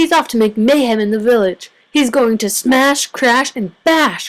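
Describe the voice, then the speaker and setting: A woman puts on a high-pitched character voice and speaks at a moderate pace. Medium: read story. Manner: cranky, excited.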